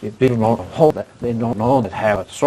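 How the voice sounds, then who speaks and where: Against noticeable background noise, a man talks at a medium pitch with ordinary pitch variation. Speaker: person with aphasia. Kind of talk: support group discussion. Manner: halting.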